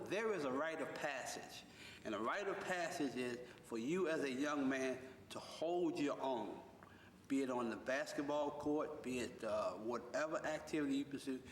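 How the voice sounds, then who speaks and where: A man with an American accent at a moderate pace with ordinary pitch variation, amid noticeable background noise and audible room echo. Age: 60s. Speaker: wrestling coach and youth center director. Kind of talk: interview.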